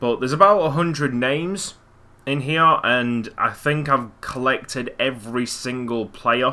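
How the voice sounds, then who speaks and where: At a fairly slow pace, a man speaks in a bright, sharp tone at medium pitch with ordinary pitch variation. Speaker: gaming commentator. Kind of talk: gameplay commentary. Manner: soft-spoken.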